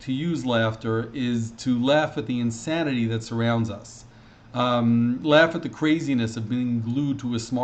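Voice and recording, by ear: A natural voice reads aloud, its pitch moving in an ordinary way.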